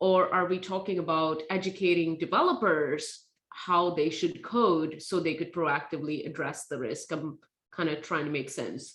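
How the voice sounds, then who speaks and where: With a non-native accent, the speaker keeps a moderate pace and fairly even intonation. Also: woman, fairly low pitch for a woman. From India. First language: not English. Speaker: tech safety nonprofit founder. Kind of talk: speaker series Q&A.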